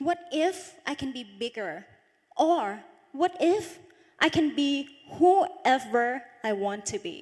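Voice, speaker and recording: This woman talks very slowly in a high voice, her pitch swinging very widely and her loudness rising and falling sharply. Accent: Thai. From Northeast Thailand (Isan). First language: Isan (Thai dialect). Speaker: beauty pageant runner-up. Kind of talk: motivational talk.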